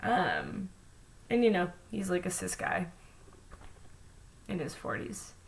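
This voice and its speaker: A woman with an American accent speaks at a fairly slow pace, leaving long, frequent pauses. The room echo is audible and the background noise noticeable. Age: 20s. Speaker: vlogger. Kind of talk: personal vlog monologue. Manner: many fillers, hesitant.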